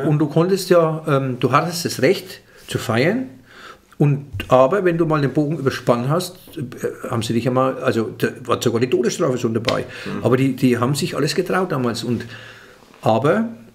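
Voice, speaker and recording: A man talks at a moderate pace with lively intonation over light background noise. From Franconia. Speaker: comedian. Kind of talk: interview answer. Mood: relaxed, animated. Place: home room. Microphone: studio mic.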